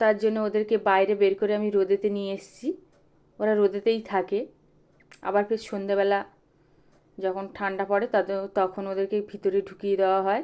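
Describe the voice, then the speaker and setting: With a dark, mellow tone at medium pitch, this woman talks in a monotone, flat manner. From West Bengal, South 24 Parganas (Sundarbans). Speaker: vlogger and goat farmer. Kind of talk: casual vlog narration. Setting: goat shed on farm.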